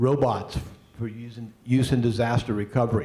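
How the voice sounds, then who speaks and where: A man with an American accent speaks at a fairly quick pace and a medium pitch, with fairly even intonation. His tone is dark and mellow, somewhat breathy, with audible room echo. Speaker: panel moderator, university engineering staff. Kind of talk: panel moderation and introductions. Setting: stage with live audience. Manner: hesitant, many fillers.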